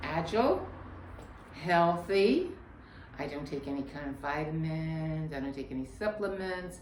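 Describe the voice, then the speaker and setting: Speaking at a fairly slow pace with lively intonation, a woman with a fairly low pitch is heard over noticeable background noise and audible room echo. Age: old. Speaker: yoga teacher. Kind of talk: tutorial.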